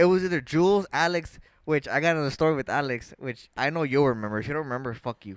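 Speaking at a fast pace, a man uses a fairly high pitch with ordinary pitch variation.

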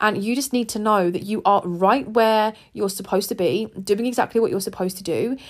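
Delivered at a fairly quick pace with hardly any pauses and ordinary pitch variation, the speech comes through in a very clean recording with a silent background. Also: woman, fairly high pitch for a woman. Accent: English. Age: 20s. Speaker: podcast host. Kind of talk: personal monologue.

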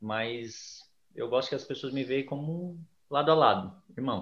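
A man talks at a moderate pace with ordinary pitch variation in an unremarkable speaking voice. The background is quiet. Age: 30s. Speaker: ayahuasca ceremony leader, geography teacher. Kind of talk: interview.

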